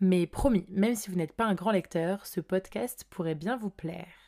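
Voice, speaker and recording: In a very clean recording with a silent background, a woman with a dark, mellow tone speaks at a moderate pace with ordinary pitch variation. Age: 20s. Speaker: podcast host. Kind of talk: scripted narration.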